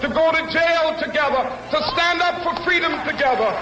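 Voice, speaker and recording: In an American accent, a man talks in a raised, projected voice at a moderate pace with fairly even intonation, against noticeable background noise. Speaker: civil rights leader and preacher. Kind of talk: public speech at a rally, sermon-style oratory. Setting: outdoor public address, crowd event, archival recording. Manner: rhythmic, impassioned, building in intensity.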